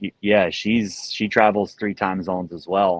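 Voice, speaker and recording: A man with an American accent speaks at a fairly slow pace against a quiet background. His fairly low voice stays monotone and flat. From US South, rural southeastern North Carolina. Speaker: pro athlete. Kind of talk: casual interview chat.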